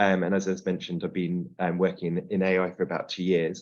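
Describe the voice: A man with a low-pitched voice talks at a fairly quick pace.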